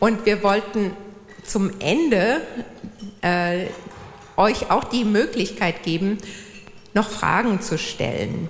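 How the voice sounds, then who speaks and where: Amid noticeable background noise and audible room echo, a woman of medium pitch talks at a very slow pace with ordinary pitch variation and long, frequent pauses. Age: 50s. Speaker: church volunteer, speaker. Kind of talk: church talk. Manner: hesitant, many fillers.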